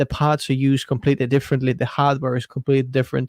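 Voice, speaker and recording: In a very clean recording with a silent background and a dry, close sound free of echo, a man with an Estonian accent speaks at a medium pitch. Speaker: tech YouTuber. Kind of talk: livestream interview.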